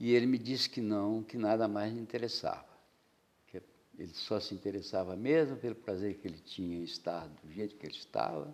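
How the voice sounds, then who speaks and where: A man talks at a fairly quick pace in a fairly low pitch. His loudness swings widely while his pitch varies in an ordinary way. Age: 60s. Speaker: painter. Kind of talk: interview. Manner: halting.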